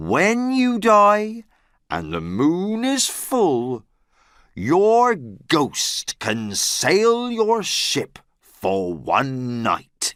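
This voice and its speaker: This is a put-on character voice at a middle pitch. It unfolds at a very slow pace. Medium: read story. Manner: solemn, cryptic.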